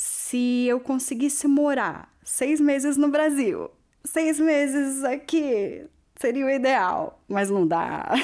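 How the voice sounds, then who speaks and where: On a very clean recording with a silent background, a woman with a São Paulo accent speaks at a very slow pace in a high pitch with lively intonation. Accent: Brazilian Portuguese, São Paulo. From Brazil, São Paulo. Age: 30s. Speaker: immigrant hairdresser and DJ. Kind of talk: personal testimony.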